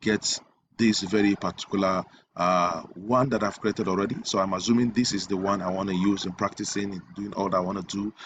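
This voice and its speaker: A man with an unremarkable speaking voice talks at a fairly quick pace, his fairly low pitch held in fairly even intonation over a quiet background. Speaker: web design tutor. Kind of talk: tutorial.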